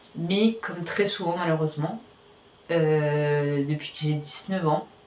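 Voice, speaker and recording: Noticeable background noise sits behind a woman speaking at a very slow pace. Her pitch varies in an ordinary way. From Réunion. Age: 20s. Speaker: vlogger. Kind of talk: personal video diary. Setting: at home, nearly empty apartment. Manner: hesitant, many fillers.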